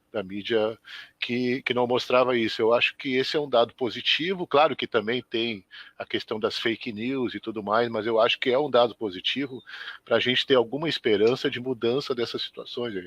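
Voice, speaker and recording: With a plain, everyday voice, a man of medium pitch speaks at a moderate pace with ordinary pitch variation. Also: dry, close sound with no echo. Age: 60s. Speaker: schoolteacher. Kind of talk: live web interview. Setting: live web broadcast.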